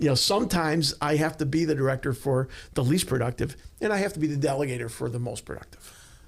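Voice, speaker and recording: The man's voice is fairly high and somewhat breathy. He talks at a very fast pace with ordinary pitch variation. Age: 60s. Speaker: leadership consultant, former law enforcement. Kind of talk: podcast interview. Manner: hesitant, many fillers.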